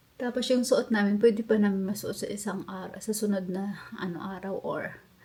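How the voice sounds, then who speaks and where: A woman speaks at a moderate pace in a medium-pitched, somewhat breathy voice. Her tone is dark and mellow, with fairly even intonation. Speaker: vlogger. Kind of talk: casual vlog chat. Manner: halting.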